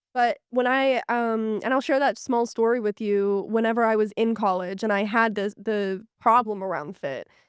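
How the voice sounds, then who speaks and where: Loud and with an American accent, a woman speaks at a fairly high pitch with ordinary pitch variation and hardly any pauses, recorded dry and close with no echo. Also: moderate pace. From Pittsburgh area, western Pennsylvania. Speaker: fashion tech founder. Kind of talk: podcast interview.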